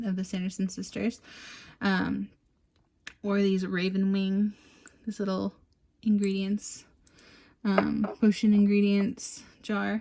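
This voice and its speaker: A somewhat breathy woman speaks at a medium pitch. Her pace is fairly slow and her intonation fairly even. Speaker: tarot reader. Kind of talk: tarot reading monologue. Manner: hesitant, many fillers.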